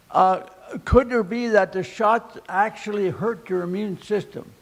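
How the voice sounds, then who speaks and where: There is noticeable background noise behind this man. He speaks at a fairly slow pace. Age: 90s. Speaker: audience member. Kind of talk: audience question.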